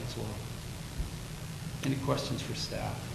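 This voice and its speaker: With audible room echo and noticeable background noise, a man rattles along at a very fast pace. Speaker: city planning staff presenter. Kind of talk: staff report presentation at council meeting. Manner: loud.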